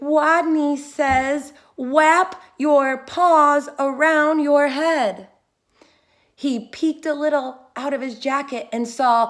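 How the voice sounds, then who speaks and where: In a put-on character voice, a woman mumbles very slowly at a high, squeaky pitch. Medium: read story. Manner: timid, mumbling.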